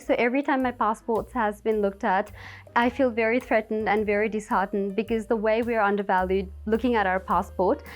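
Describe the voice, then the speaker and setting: A woman speaks fairly quickly with a fairly high pitch. Her intonation stays fairly even, with music playing in the background. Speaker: beauty pageant contestant. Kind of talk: interview. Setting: on camera. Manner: fast.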